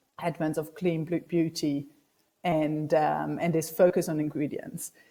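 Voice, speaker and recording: Fairly slow in pace, the voice carries a dark, mellow tone. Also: woman. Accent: German. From Germany. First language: German. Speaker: startup business development director. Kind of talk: conference talk. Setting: video call.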